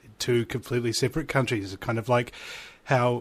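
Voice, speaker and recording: On a very clean recording with a silent background, a man speaks with a New Zealand accent at medium pitch. His pace is fairly quick and his intonation fairly even. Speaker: radio show host. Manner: jokey, self-amused.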